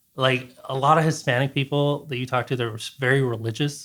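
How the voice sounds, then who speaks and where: Fairly quick and monotone, a man speaks at a medium pitch on a very clean recording with a silent background. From Alaska, US. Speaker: musician, singer and guitarist. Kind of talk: casual chat.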